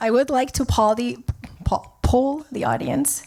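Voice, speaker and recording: High-pitched female speech with normal variation in pitch. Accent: non-native. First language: not English. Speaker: wealth advisor, panel moderator. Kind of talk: moderated panel conversation. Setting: stage with audience.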